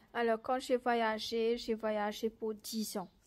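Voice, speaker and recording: Over a quiet background, a woman speaks at a very slow pace with a fairly high pitch. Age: 30s. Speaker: faith testimony vlogger. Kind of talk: motivational religious talk. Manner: halting, with repetitions and hesitations. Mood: earnest, encouraging. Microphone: phone near.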